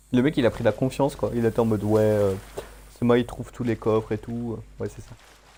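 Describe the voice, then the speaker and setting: Fairly quick male speech marked by big swings in loudness. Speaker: gaming streamer. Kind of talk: casual chat. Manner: fast-talking.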